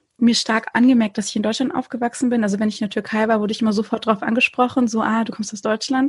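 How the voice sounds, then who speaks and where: This woman's voice is fairly high and somewhat breathy. Her intonation is fairly even. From Konstanz, southern Germany (Turkish family). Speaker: podcaster. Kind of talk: casual chat.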